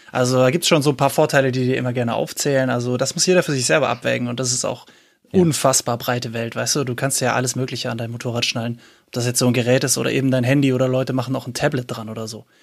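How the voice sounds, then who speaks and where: On a very clean recording with a silent background, a man talks very fast with fairly even intonation. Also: medium pitch for a man. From Swabia, Reutlingen. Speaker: app developer. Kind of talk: casual interview chat.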